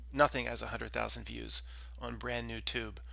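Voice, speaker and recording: Against a quiet background, a man speaks at a fairly slow pace with a dry sound and no echo. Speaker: channel host. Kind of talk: commentary. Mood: serious, concerned. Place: home room. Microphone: headset.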